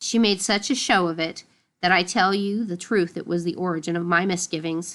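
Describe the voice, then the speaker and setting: Against a quiet background, a female-sounding voice in a raspy, put-on character delivery talks fairly quickly at a middle pitch. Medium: read story. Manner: dry, sneering.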